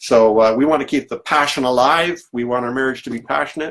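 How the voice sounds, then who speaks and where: With ordinary variation in his pitch, a man speaks at a moderate speed. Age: 60s. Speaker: pastor turned online coach. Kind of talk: live stream Q&A. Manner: halting, many fillers.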